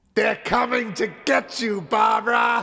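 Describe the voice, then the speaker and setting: Putting on a character voice, a man projects loudly at a high pitch and a fairly slow pace. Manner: spooky, eerie, theatrical.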